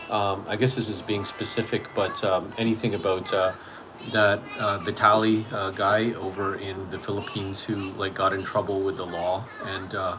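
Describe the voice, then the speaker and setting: With a Canadian accent and monotone, flat intonation, a man speaks amid noticeable background noise and audible room echo. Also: fairly low pitch for a man. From Canada. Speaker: English teacher and small youtuber. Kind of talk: casual chat. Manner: halting, many fillers and restarts; fast.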